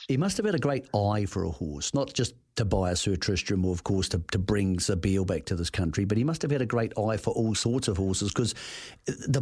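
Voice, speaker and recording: The voice is somewhat breathy with lively intonation and very even loudness. The recording is very clean with a silent background. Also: man. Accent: New Zealand. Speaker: racing radio host. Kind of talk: radio interview. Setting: studio.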